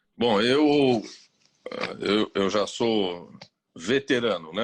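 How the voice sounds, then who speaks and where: A man speaks at a medium pitch with ordinary pitch variation. The sound is dry and close, with no echo. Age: 60s. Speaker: psychiatrist. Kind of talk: interview. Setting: video call.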